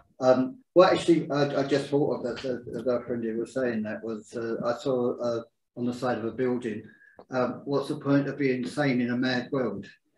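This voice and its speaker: The speech unfolds at a moderate pace. It is a plain, everyday voice. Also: man, medium pitch for a man, fairly even intonation. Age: 60s. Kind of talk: group discussion. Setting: livestreamed group talk.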